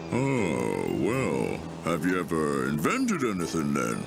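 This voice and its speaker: Over loud background noise, a man performs a cartoonish character voice, very deep and low in pitch, at a fairly slow pace. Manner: gentle, measured.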